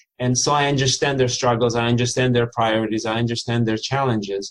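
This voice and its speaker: A man speaks at medium pitch with monotone, flat intonation. The background is quiet. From former Soviet Union. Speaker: lawyer and entrepreneur. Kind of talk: interview. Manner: halting, many fillers.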